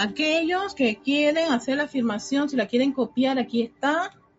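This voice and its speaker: Over music in the background, a woman with a high pitch speaks at a fairly slow pace with lively intonation. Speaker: spiritual teacher leading an online class. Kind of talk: guided meditation, slow solemn spiritual invocation; casual chat with online class. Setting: live video call streamed to online audience. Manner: slow, calm, reverent, measured; gentle, soothing, devotional.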